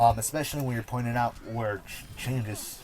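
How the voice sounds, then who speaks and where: Noticeable background noise sits behind a man speaking at a fairly quick pace. His pitch is fairly low. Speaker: gaming and cannabis youtuber. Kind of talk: casual vlog monologue. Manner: halting, self-correcting.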